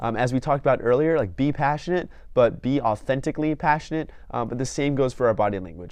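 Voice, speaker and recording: A man moves at a fairly quick pace, his pitch medium and its variation ordinary. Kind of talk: tutorial. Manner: fast; hesitant, many filler words.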